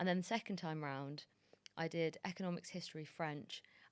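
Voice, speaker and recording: Speaking fairly quickly with a London accent, a woman has a very deep, low pitch and fairly even intonation. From London, England. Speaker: TV producer and journalist. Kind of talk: interview. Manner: casual.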